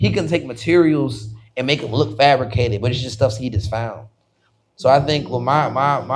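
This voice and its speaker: Speaking at a fairly quick pace, a man uses an animated tone with medium pitch and ordinary pitch variation. His voice is somewhat breathy, and audible room echo surrounds it. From Washington DC, of Haitian family. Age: 20s. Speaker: visual artist. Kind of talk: casual interview chat. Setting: live podcast recording in a studio.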